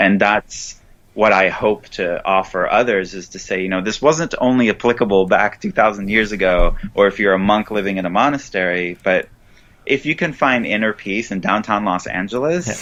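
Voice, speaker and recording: A man's fairly low voice with an Israeli accent, ordinary pitch variation and a moderate pace. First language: Hebrew. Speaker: author and Buddhist teacher. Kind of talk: interview. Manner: hesitant, with fillers and restarts.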